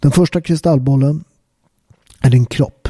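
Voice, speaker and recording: A man talks at a moderate pace with a dark, mellow tone and ordinary pitch variation. The sound is dry and close, with no echo. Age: 40s. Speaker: fitness and health podcaster. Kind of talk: monologue. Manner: casual, with frequent fillers.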